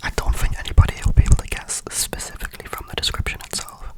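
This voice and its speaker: The speaker whispers in a relaxed tone. Noticeable background noise sits behind the voice. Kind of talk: ASMR whisper ramble about video games. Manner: whispered, soft, relaxed.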